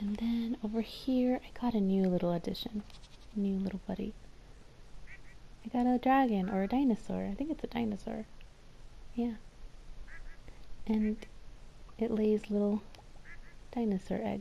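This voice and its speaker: The voice is quiet. Long pauses come often. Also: moderate pace. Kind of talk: casual gameplay commentary. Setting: home recording.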